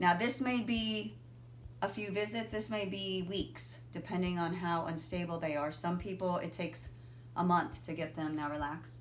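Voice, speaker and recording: Amid audible room echo, a woman with a fairly low pitch speaks at a moderate pace with lively intonation. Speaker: physical therapist. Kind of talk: tutorial.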